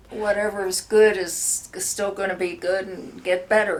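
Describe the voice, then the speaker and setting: A woman with an American accent and a medium pitch talks at a very slow pace over noticeable background noise. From Pennsylvania (suburban Philadelphia). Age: 80s+. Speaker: interviewee. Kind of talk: casual interview chat.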